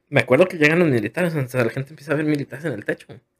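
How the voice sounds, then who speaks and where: A man's voice with ordinary pitch variation, dry and close with no echo. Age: 20s. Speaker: podcast host. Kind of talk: casual chat.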